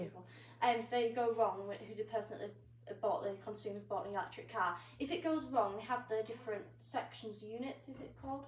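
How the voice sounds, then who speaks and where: Her pitch fairly high, a woman talks at a fairly quick pace with lively intonation and big swings in loudness. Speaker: amateur presenter and interviewer. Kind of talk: interview question. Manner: hesitant, stumbling.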